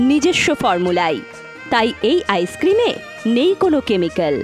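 Music plays in the background as a woman speaks. Her pitch swings very widely. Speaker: voice-over artist. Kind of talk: loudspeaker street advertisement. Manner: energetic, promotional.

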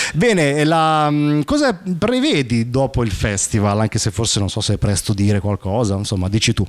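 The speech has lively intonation and a moderate pace. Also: man. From Sicily. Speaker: radio host. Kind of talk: interview. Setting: studio. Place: studio. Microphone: handheld.

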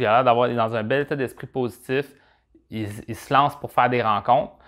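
Quiet surroundings behind a man talking. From Quebec. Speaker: dating advice vlogger. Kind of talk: advice monologue, answering viewer question. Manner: casual, conversational, with filler words. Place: studio. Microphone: lapel.

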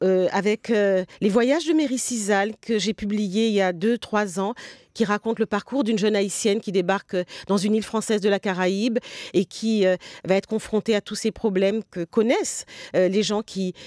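At a moderate pace, a woman speaks with fairly even intonation against a quiet background, the sound dry with no echo. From Guadeloupean family, grew up in Paris region. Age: 60s. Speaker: novelist; guest. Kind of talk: interview. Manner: hesitant, many fillers. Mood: calm, reflective. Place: studio.

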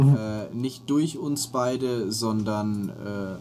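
Pitched in the medium range, a man speaks with a dark, mellow tone and fairly even intonation. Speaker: gaming co-host. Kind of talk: casual chat. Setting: at home during quarantine.

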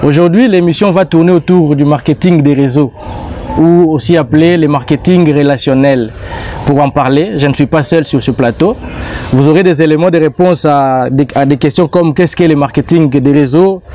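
Faint music sits in the background as a man speaks with ordinary pitch variation in a dry sound with no echo. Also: moderate pace. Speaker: TV show host. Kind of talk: TV show introduction. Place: garden.

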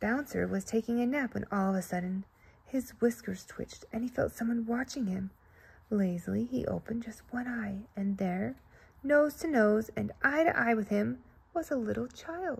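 A woman at a moderate pace, with lively intonation. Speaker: storybook reader. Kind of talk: reading a children's story aloud. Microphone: phone near.

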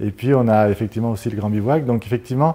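A dark, mellow tone with ordinary pitch variation. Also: man. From France, Grenoble (Isère); France. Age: 50s. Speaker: mayor and surveyor; mayor. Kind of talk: interview. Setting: TV studio set. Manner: halting, many hesitations. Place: studio. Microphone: lapel.

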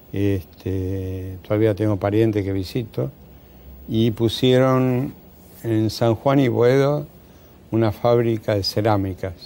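Speaking very slowly with a Rioplatense accent, a man with a fairly low pitch and a dark, mellow tone keeps to ordinary pitch variation. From Argentina, Buenos Aires (Devoto). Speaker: surgeon and retired professor. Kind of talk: interview. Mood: calm, reminiscing. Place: studio.

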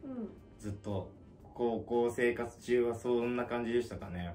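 Light background noise can be heard behind a man. He speaks at a fairly slow pace with fairly even intonation. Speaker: interview guest. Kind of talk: interview answer. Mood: reflective, candid. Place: home room.

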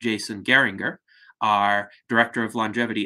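A fairly low male voice with fairly even intonation against a quiet background. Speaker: host of online salon. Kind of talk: formal introduction. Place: home room. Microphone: webcam.

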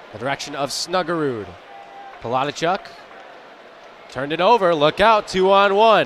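Over noticeable background noise, the speaker talks at a moderate pace in an animated tone with lively intonation and long, frequent pauses. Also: man. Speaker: play-by-play announcer. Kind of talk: live commentary. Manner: animated on goals, rising call.

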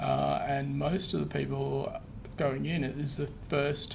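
A man talks with an Australian accent. There is noticeable background noise. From Western Australia. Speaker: presenter. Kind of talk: presentation; answering audience questions. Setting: webinar with live room audience. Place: meeting room.

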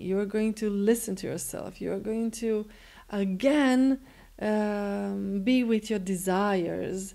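Against a quiet background, a woman speaks at a very slow pace. Her tone is dark and mellow, with fairly even intonation. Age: 40s. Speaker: spiritual teacher and healer; spiritual teacher. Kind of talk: motivational self-help talk. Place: home room.

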